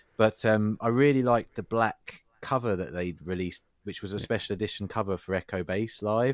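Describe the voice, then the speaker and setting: With normal variation in pitch, the speaker talks at an even, middling tempo. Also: man, fairly low pitch for a man. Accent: English. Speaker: podcast co-host. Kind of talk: casual chat. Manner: loud.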